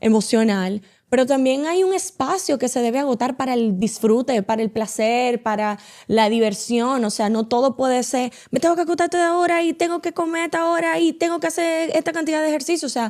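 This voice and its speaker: Lively in intonation and high in pitch, a woman speaks at a fairly quick pace with very even loudness. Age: 30s. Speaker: media communicator and content creator. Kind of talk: casual interview chat.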